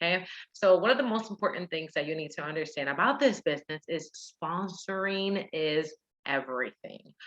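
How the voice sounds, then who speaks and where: The tone is animated, with a Puerto Rican accent. The pace is moderate. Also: woman, fairly low pitch for a woman, lively intonation. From Puerto Rico. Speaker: direct sales team leader and soldier. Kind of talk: sales training presentation.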